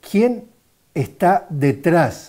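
Over a quiet background, a man speaks at a very slow pace with a dark, mellow tone. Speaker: journalist. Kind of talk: interview questions. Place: studio. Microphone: lapel.

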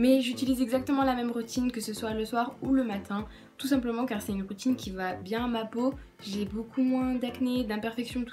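A woman's high voice, flat and monotone, at a fairly quick pace over faint background music. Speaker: beauty vlogger. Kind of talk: casual vlog chat. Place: home room. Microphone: phone near.

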